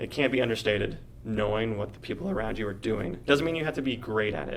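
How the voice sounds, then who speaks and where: A man with an American accent, fairly low-pitched and very fast, with ordinary pitch variation, noticeable background noise and audible room echo. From rural Canada. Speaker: actor and director. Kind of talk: podcast interview. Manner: halting, many fillers.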